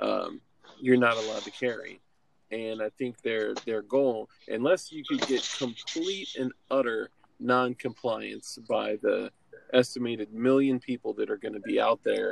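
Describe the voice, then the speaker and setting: Recorded dry and close with no echo, a man talks at a fairly slow pace. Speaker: podcast co-host. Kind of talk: casual chat. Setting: video call.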